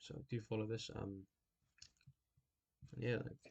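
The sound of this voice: Speaking slowly with vocal fry, a man holds a fairly low pitch with little pitch movement and a slightly mellow tone.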